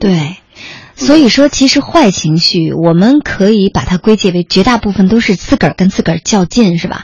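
Against noticeable background noise, a woman talks at a moderate pace with a medium pitch and lively intonation. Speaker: late-night radio host. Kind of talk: live late-night radio talk show. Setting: radio studio. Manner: warm, gentle.

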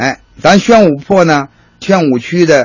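This man has a fairly high pitch and a Beijing accent. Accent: Beijing Mandarin. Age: 50s. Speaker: hutong tour guide. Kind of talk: guided tour talk.

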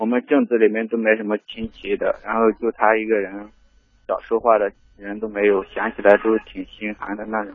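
A man speaks with a fairly low pitch and a flat, monotone delivery. His loudness swings widely from moment to moment. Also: moderate pace. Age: 20s. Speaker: caller, factory worker. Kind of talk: phone call-in advice chat. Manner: halting.

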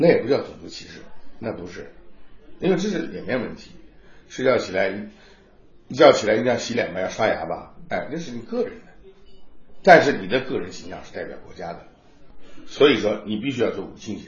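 Speaking at a fairly quick pace, a man makes big swings in loudness and leaves long, frequent pauses, with audible room echo around him. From Jiangsu, Nanjing. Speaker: opera tenor. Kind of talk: interview. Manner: halting.

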